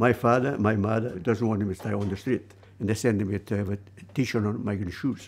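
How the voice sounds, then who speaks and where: With a fairly low pitch and fairly even intonation, a man talks at a fairly quick pace broken by long, frequent pauses over light background noise. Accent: Italian. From Italy. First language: Italian. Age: 80s+. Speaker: shoe cobbler. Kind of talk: interview answer. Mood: warm, reflective, reminiscing. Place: workshop. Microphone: lapel.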